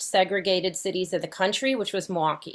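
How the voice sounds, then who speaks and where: On a very clean recording with a silent background, a woman with a slight Wisconsin accent speaks at a medium pitch. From Wisconsin, US (Fond du Lac). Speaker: researcher leading a justice project. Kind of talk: panel conversation.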